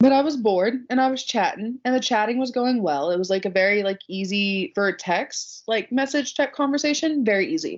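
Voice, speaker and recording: A woman talks loudly at a fairly quick pace with hardly any pauses. Her high pitch carries lively intonation. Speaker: podcast co-host. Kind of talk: casual chat.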